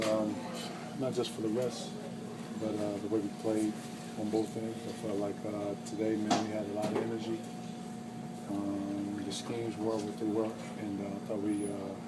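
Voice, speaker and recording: Soft-spoken and fairly low in pitch, a man talks with fairly even intonation and long, frequent pauses while music plays in the background. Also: moderate pace. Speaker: professional basketball player. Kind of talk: postgame press conference answers.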